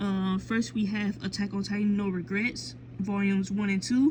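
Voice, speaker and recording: A woman speaks with a medium pitch. She keeps a moderate pace. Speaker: manga collector vlogger. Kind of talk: casual collection show-and-tell vlog. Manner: hesitant, many fillers and self-corrections.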